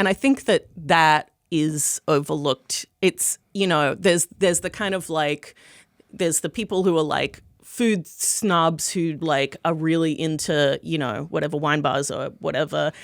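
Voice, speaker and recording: A woman with an American accent and a very deep, low pitch, at a fairly slow pace with ordinary pitch variation, in a dry, close sound with no echo. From Australia (Melbourne). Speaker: food critic and author. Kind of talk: podcast interview.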